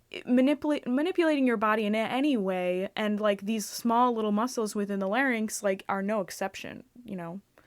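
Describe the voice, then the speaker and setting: A woman talks at a fairly quick pace with hardly any pauses, her pitch fairly high with ordinary variation. The recording is very clean, with a silent background. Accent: American. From western New York (Buffalo area). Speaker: podcast host. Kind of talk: casual chat.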